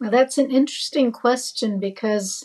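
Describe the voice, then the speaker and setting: Her voice somewhat breathy, a woman speaks in a dark, mellow tone with ordinary pitch variation. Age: 70s. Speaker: retired psychotherapist, investor. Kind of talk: interview.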